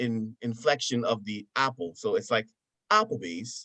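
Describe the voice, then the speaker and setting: A man with an American accent speaks fairly slowly at a medium pitch, his tone bright and sharp and his pitch swinging very widely. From US, Buffalo, New York. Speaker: professional wrestler. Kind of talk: casual chat. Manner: animated.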